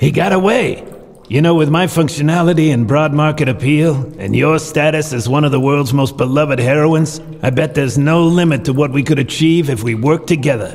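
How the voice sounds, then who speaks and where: Over light background noise, a man puts on a character voice, fairly high in pitch and fairly quick in pace. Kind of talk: hard-boiled noir voice-over parody. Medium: audio drama. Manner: dry, clipped, deadpan.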